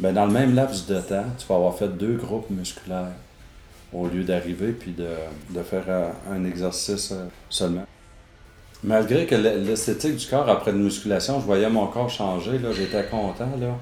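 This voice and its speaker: A man speaks at a fairly low pitch with ordinary pitch variation and long, frequent pauses. Music plays in the background, and the room echo is audible. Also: moderate pace. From Quebec City. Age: 50s. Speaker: former bodybuilder. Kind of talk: testimony. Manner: halting.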